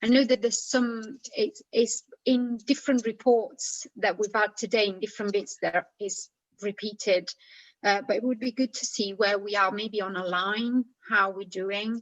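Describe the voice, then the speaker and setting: A woman with a non-native accent speaks at a moderate pace and fairly high pitch, keeping her intonation fairly even. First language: not English. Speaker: committee member. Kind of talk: committee meeting. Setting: video call. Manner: halting.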